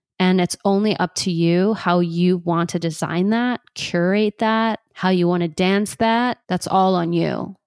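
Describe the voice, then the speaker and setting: A woman talks fairly slowly with hardly any pauses in an ordinary speaking voice at a medium pitch, her intonation fairly even and loudness very even. The recording is very clean, with a silent background and a dry, close sound with no echo. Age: 30s. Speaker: podcast host and life coach. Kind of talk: personal reflection monologue.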